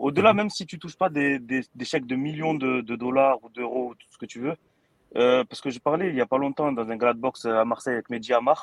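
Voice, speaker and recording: At a fairly quick pace, a man with an ordinary speaking voice talks at a medium pitch with ordinary pitch variation and big swings in loudness, recorded dry and close with no echo. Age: 30s. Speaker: boxing YouTube creator. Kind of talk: casual chat. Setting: studio.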